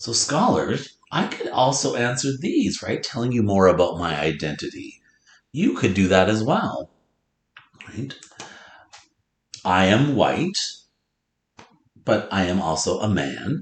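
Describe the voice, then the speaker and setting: Amid audible room echo, a man with an American accent and a fairly low pitch talks at a fairly slow pace with vocal fry, very wide pitch swings, and long, frequent pauses. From North Dakota, US Upper Midwest. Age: 40s. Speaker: elementary school teacher. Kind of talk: lesson with read-aloud for pupils. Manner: loud.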